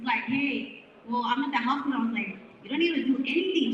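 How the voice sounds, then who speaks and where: A woman speaks at a high pitch and a fairly quick pace. Audible room echo surrounds her voice. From northern Mexico (Chihuahua). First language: Spanish. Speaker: radio host and real estate wholesaler. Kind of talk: speech to a live audience at a networking event. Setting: event room with live audience. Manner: animated.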